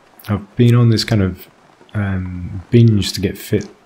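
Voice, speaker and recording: Quiet and relaxed, a man talks fairly slowly in a fairly low, monotone, flat voice over noticeable background noise. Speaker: gaming YouTuber. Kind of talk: let's play commentary. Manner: relaxed narration.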